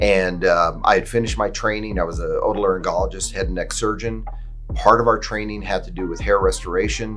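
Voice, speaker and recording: Music plays in the background as a man talks at a fairly quick pace amid audible room echo. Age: 60s. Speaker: hair restoration surgeon. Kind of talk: personal testimony. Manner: casual with fillers.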